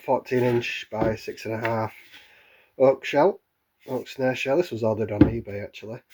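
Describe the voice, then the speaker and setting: A man with a British accent. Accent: regional British. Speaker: drum maker. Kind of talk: casual workshop talk to camera. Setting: workshop, camera microphone.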